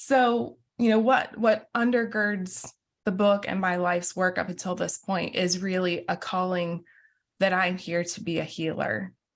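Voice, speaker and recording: A woman with an American accent and a plain, everyday voice talks at a fairly slow pace and a medium pitch, with ordinary pitch variation, over a quiet background. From US South, southeast Georgia. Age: 30s. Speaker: minister and author. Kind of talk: interview conversation.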